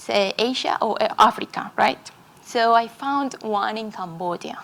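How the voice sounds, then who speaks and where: The speaker talks with a Colombian accent and ordinary pitch variation. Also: woman. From Colombia, Medellín. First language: Spanish. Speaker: conference speaker. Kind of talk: talk to an audience. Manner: halting.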